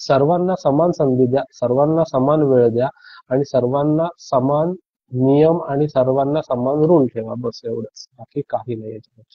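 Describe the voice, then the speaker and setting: Ordinary pitch variation comes through in a somewhat breathy voice. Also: man, fairly high pitch for a man. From Alibag, Maharashtra. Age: young. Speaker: cricket commentator. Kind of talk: interview answer.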